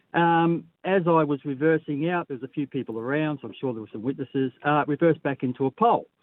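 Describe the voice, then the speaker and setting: A woman with an Australian accent talks very fast at a very deep, low pitch, with ordinary pitch variation and big swings in loudness. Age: 60s. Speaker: caller. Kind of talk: call-in story.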